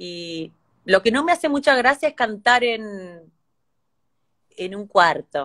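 Speaking very slowly in a fairly high pitch, a woman makes very wide pitch swings and big shifts in loudness against a quiet background. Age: 30s. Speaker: singer; singer talking with a host. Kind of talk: casual chat. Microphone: phone near.

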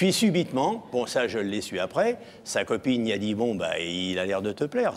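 With light background noise behind him, a man talks at a moderate pace and a medium pitch, his pitch swinging very widely. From France, near Chartres; France. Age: 60s. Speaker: TV show guest; TV guest. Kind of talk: love declaration; personal storytelling. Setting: TV studio with audience. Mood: warm, animated, amused. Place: studio. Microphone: lapel.

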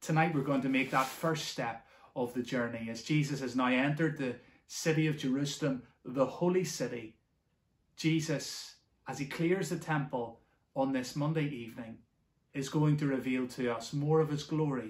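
A man speaks at a moderate pace, somewhat breathy, with fairly even intonation. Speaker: church minister. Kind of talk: devotional welcome address. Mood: warm, earnest. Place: home room. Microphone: phone near.

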